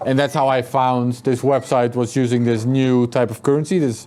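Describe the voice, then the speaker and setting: Over noticeable background noise, a man with a Dutch accent speaks at a moderate pace and medium pitch in a flat, monotone intonation. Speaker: author and journalist. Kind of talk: interview at a meetup.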